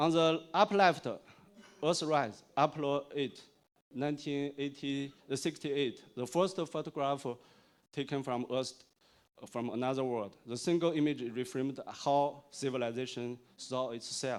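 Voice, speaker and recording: The speaker talks at a fairly slow pace with ordinary pitch variation in a very clean recording against a silent background. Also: man, fairly high pitch for a man. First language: Chinese. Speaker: tech industry executive, conference speaker. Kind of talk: conference keynote. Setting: stage with audience. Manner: halting, many fillers.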